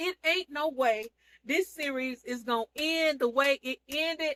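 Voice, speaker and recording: A woman's high voice comes across bright, sharp and animated, raised and projected. The sound is dry and close with no echo. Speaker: online seller and TV show reviewer. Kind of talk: casual vlog recap of a TV series.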